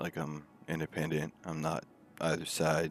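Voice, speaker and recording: A man speaks at a fairly slow pace in a very deep, low pitch with fairly even intonation, music playing in the background. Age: 30s. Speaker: livestreamer discussing politics. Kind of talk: casual livestream talk. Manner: rambling with fillers.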